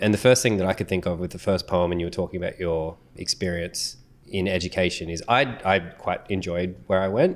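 With an Australian accent, a man speaks at a fairly quick pace in a very deep, low pitch and fairly even intonation. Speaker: podcast co-host. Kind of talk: casual interview.

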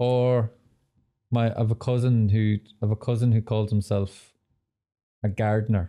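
On a very clean recording with a silent background and a dry, close sound with no echo, the speaker has a dark, mellow tone, monotone and flat intonation, very even loudness, a moderate pace, and long, frequent pauses. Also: man, medium pitch for a man. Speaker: podcast host.

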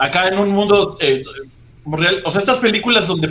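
A man in a Mexican accent, high-pitched, at a fairly quick pace. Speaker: podcast host and comedian. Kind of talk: casual chat. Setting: live stream.

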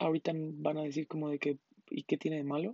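A woman speaks with a Mexican accent in a very deep, low voice. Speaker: podcast host. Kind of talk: casual monologue. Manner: casual, slangy chatter.

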